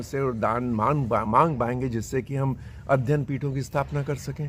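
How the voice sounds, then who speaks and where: The man's somewhat breathy voice sits at a medium pitch, with ordinary pitch variation. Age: 70s. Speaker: long-distance pilgrim walker. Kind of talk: interview.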